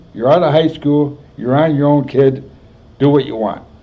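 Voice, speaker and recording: A man speaks with a Chicago accent. His pitch is fairly high. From US Midwest. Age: 80s+. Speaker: war veteran. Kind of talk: oral history interview. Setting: health center.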